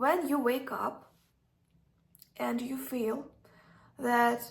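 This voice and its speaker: A woman's fairly high voice at a very slow pace. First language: not English. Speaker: self-development vlogger. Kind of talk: casual advice talk. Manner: halting, many fillers.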